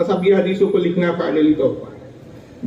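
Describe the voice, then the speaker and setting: A man is speaking, and there is noticeable background noise. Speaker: Islamic preacher / religious scholar. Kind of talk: Islamic sermon (bayan) to an audience. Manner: lecturing, narrative, explanatory.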